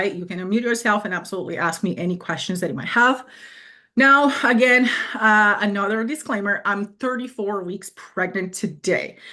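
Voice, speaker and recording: Speaking at a moderate pace over a quiet background, a woman with a non-native accent has a bright, sharp tone and ordinary pitch variation. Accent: foreign. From Brazil. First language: Portuguese. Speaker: fitness coach. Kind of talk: live webinar presentation. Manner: hesitant, many fillers; direct.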